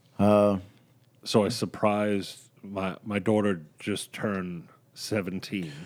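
Very slowly and at a fairly low pitch, a man speaks in a very clean recording with a silent background. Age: 40s. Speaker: podcast co-host, voiceover actor. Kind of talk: casual chat. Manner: animated.

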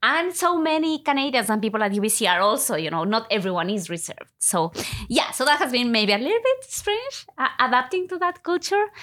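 Amid noticeable background noise, a woman with a Latin American accent talks at a fairly quick pace in a high voice with very wide pitch swings. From Ecuador. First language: Spanish. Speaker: university lecturer. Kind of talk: interview conversation.

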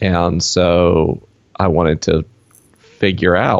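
A man with a Southern US accent speaks with a very deep, low pitch. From US South. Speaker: author and podcaster. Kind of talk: casual interview. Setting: video call.

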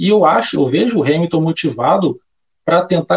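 Here is a man with a high voice and ordinary pitch variation. He keeps to a moderate pace. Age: 20s. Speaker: motorsport betting tipster. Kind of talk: casual interview.

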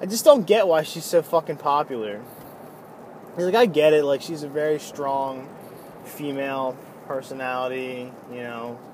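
Against noticeable background noise, a man speaks in a fairly high voice with ordinary pitch variation, big swings in loudness and long, frequent pauses. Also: moderate pace. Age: 20s. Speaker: podcaster and band musician. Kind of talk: casual monologue. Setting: in a car. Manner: casual, filler-heavy.

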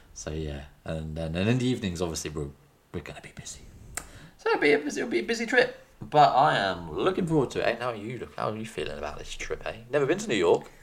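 Over noticeable background noise, a man talks at a very fast pace. His loudness swings widely. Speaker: podcast host. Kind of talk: casual chat.

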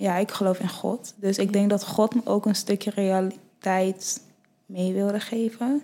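A woman talks fairly slowly in a monotone, flat intonation. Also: medium pitch for a woman. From Nigeria, then Friesland from age eight. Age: 20s. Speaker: fashion model. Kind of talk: casual chat.

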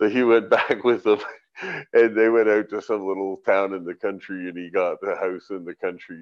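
Talking at a moderate pace, a man with a plain, everyday voice keeps a fairly low pitch and fairly even intonation, with big swings in loudness. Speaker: cannabis breeder and grower. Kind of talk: casual chat. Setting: video call.

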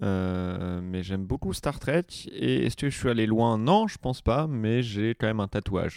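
Recorded very cleanly against a silent background, a man with a fairly low pitch talks in an unremarkable speaking voice. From Vienne, France. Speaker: comedian. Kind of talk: casual chat. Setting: studio.

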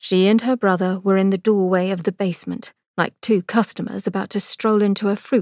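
This is reading aloud in a natural voice with fairly even intonation. The background is quiet.

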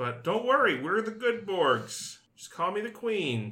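In a put-on character voice, a man talks at a fairly slow pace with a high pitch and very wide pitch swings. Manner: imitation, playful.

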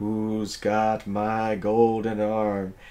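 A man's put-on character voice, fairly low and monotone, with flat intonation. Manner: spooky.

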